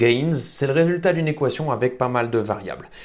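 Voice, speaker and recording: A man speaks in a plain, everyday voice, pitched fairly high, with ordinary pitch variation. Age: 20s. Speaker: fitness coach YouTuber. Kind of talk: educational video monologue.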